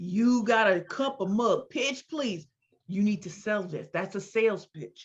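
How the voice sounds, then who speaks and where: Somewhat breathy and animated, a woman of medium pitch speaks with ordinary pitch variation and big swings in loudness. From US Midwest, St. Louis, Missouri. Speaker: entrepreneur and speaker. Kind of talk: interview. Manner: fast.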